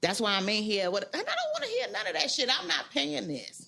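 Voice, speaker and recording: A loud, animated woman's voice, fairly high in pitch, at a fairly quick pace with very wide pitch swings. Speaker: podcast co-host. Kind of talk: casual chat.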